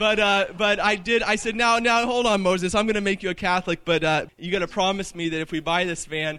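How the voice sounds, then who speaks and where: A man speaks very fast in a raised, projected voice that is high-pitched, with a bright, sharp tone and ordinary pitch variation. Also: hardly any pauses. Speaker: institute director introducing speaker. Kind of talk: casual announcements. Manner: halting.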